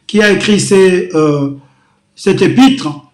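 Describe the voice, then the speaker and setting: Room echo is audible, and the pitch varies in an ordinary way. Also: man. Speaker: pastor. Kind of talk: sermon. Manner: slow.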